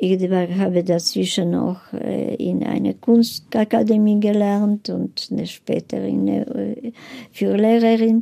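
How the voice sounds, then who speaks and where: A woman talks in a non-native accent. She goes very slowly. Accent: foreign accent in German. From Lviv, Galicia (then Poland, now Ukraine). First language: Polish (speaking German). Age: 80s+. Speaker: Holocaust survivor. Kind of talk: interview testimony. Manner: halting.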